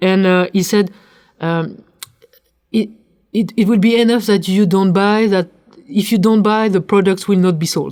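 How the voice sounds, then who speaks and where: Delivered at a moderate pace, the voice has a dark, mellow tone and fairly even intonation. Its loudness stays very even, broken by long, frequent pauses. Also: woman, medium pitch for a woman. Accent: French. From France. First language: French. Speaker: corporate sustainability leader. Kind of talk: interview conversation. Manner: hesitant, repeats words.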